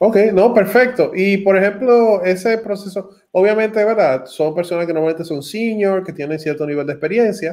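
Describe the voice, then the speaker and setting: With a Dominican accent, a man speaks at a high pitch with ordinary pitch variation. He keeps a moderate pace with hardly any pauses. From Dominican Republic, Santo Domingo. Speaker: tech channel host. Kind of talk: interview on a livestream.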